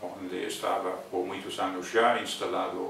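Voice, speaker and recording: A man with an English accent at a very slow pace, amid noticeable background noise and audible room echo. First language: English (speaking Portuguese). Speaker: botanist. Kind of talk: interview. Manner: halting.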